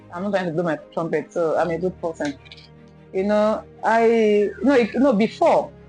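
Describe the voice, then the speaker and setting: Over music in the background, a woman speaks at a fairly quick pace with lively intonation. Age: 40s. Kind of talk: interview answer.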